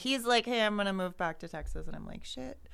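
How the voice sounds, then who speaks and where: A woman with an American accent talks in a plain, everyday voice at medium pitch and a fairly quick pace. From Idaho, Boise area. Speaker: person in recovery. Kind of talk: casual chat.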